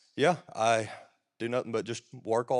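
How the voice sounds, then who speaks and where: This man has a Southern US accent and a medium pitch. His pace is moderate. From US South, Alabama. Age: young. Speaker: church drummer. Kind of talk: testimony.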